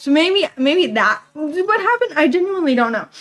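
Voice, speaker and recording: A woman speaks loudly at a fairly quick pace, her intonation lively. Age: 20s. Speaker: livestreamer. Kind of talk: casual chat.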